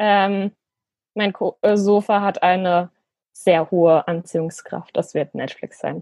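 Recorded dry and close with no echo, a woman speaks very slowly, pausing long and often. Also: medium pitch for a woman, fairly even intonation. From rural Germany. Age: 20s. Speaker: city councillor and law student. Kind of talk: interview.

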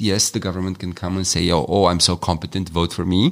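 A man speaks with a Romanian accent. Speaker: communications trainer, co-facilitator. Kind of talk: podcast discussion. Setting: seminar venue.

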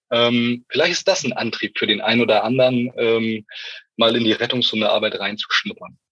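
The sound is dry and close, with no echo. This man's delivery moves at a moderate pace. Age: 40s. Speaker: rescue dog handler. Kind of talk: interview.

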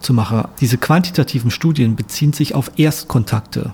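A man speaks at a moderate pace in a fairly high pitch, with ordinary pitch variation. His tone is dark and mellow, and his voice is somewhat breathy. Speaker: sociologist. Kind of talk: interview. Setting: studio in Berlin.

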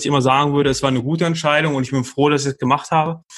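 Recorded very cleanly over a silent background, a man speaks in a monotone with flat intonation. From Ruhr area, Germany (Dortmund). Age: 30s. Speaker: dating podcast guest. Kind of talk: casual interview. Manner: halting, many fillers.

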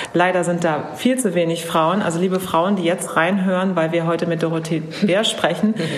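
Amid noticeable background noise, a woman speaks at a moderate pace and a fairly low pitch with fairly even intonation. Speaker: interviewer. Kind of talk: interview.

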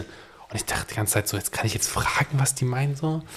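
A man's somewhat breathy voice at a very fast pace. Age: 20s. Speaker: podcast co-host. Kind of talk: casual chat.

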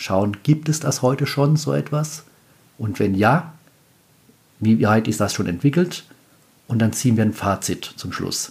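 Speaking at a fairly slow pace with long, frequent pauses, a man of medium pitch shows very wide pitch swings and vocal fry. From Palatinate, Germany. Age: 40s. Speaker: podcast host. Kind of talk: solo podcast talk. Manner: casual.

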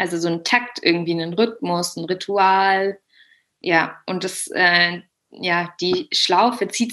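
A woman talks at a fairly slow pace in a fairly low pitch. Her tone is bright and sharp. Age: 20s. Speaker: yoga teacher and language teacher. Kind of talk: interview about personal experience. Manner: hesitant, many filler sounds.

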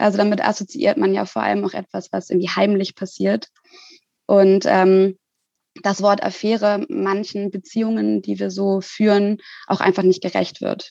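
At a moderate pace, a woman with a dark, mellow tone speaks at a medium pitch with ordinary pitch variation, the sound dry and close with no echo. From Hamburg, northern Germany. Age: 20s. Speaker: social worker and part-time student. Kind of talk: interview.

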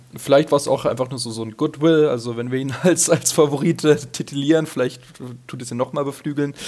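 Behind the fairly even intonation sits noticeable background noise. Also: man, fairly high pitch for a man, fairly quick pace. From Hesse, near Darmstadt, Germany. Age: 20s. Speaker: listener guest, ski fan. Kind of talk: casual chat. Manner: halting, many fillers.

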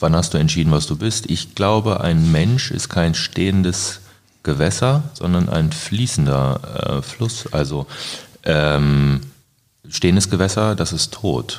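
A man with a very deep, low voice talks very slowly, his intonation lively. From Germany, Braunschweig. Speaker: graffiti artist. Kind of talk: casual chat.

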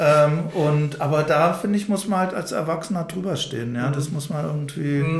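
A man talks at a fairly high pitch and a moderate pace, with ordinary pitch variation and hardly any pauses. Noticeable background noise and audible room echo surround him. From Odenwald, Hesse, then Berlin-Spandau from age six. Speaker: anti-violence trainer and social worker. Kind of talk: interview conversation. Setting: institute office, fourth floor. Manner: hesitant, many fillers.

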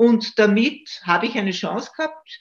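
A woman speaks at a fairly slow pace with vocal fry. Her pitch varies in an ordinary way. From Austria, Styria. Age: 70s. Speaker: retired judge and political commentator. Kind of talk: interview. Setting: video call.

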